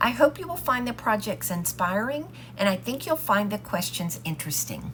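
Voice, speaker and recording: A woman talks at an unhurried, middling speed while clear background noise carries on behind her. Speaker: home decor crafter. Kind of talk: DIY tutorial voiceover.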